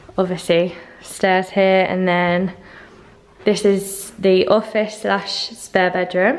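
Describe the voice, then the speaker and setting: Very slowly and at very even loudness, a woman speaks with monotone, flat intonation. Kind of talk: casual vlog chat. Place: empty room. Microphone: phone near.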